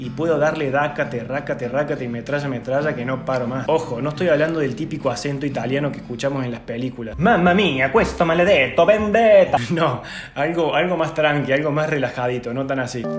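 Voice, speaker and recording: A man with a Cordoban accent speaks at a fairly quick pace and fairly high pitch, with ordinary pitch variation and hardly any pauses. Noticeable background noise and audible room echo are present. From Argentina, Córdoba. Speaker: YouTuber, language tips. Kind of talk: tutorial. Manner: casual, informal.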